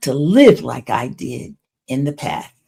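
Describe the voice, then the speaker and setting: A woman speaks at a very slow pace with a very deep, low pitch. Her tone is dark and mellow, edged with vocal fry. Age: 80s+. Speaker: domestic abuse survivor and trauma recovery speaker. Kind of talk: motivational talk to camera.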